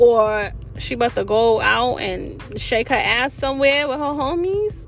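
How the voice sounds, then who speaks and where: With music in the background and audible room echo, a woman speaks at a fairly slow pace in a high pitch with lively intonation. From New York City. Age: 40s. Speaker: podcast host. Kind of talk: casual personal monologue. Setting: in a car. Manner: animated.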